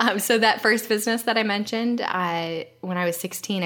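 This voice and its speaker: A woman with a General American accent, animated, at a moderate pace with ordinary pitch variation, over noticeable background noise. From United States. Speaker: brand strategist. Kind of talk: casual interview chat. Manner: animated, laughs often.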